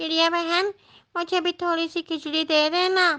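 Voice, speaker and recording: A woman puts on a squeaky, cartoonish character voice with an extremely high pitch, speaking at a fairly slow pace in a monotone, flat intonation. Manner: gentle, sisterly.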